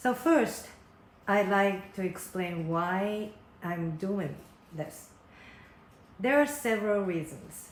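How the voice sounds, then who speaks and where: With a Japanese accent and medium pitch, a woman speaks at a very slow pace with lively intonation and long, frequent pauses, and the room echo is audible. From Japan, Osaka / Takarazuka area. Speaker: concert producer and fan community vlogger. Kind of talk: casual monologue to fans. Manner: careful, non-native pacing.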